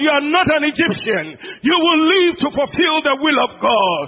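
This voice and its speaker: With a Ghanaian accent, a man speaks in an animated tone with lively intonation. Noticeable background noise runs under his voice. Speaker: preacher. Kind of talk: sermon. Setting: church.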